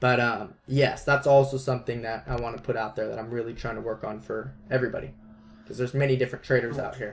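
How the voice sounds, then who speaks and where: Somewhat breathy and at medium pitch, a man talks very fast with fairly even intonation. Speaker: trading educator. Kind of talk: webinar tutorial.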